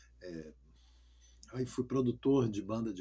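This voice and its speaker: Somewhat breathy and dark, mellow in tone, a man of medium pitch talks at a moderate pace with ordinary pitch variation. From Rio de Janeiro, Brazil. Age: 60s. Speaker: pastor. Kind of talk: testimony. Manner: halting.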